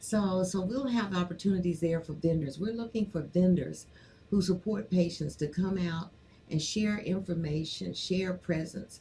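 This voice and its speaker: A woman's voice is dark, mellow and somewhat breathy. Her pitch variation is ordinary. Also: medium pitch for a woman, moderate pace. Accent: American. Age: 60s. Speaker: former state senator and cannabis activist. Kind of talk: casual chat interview.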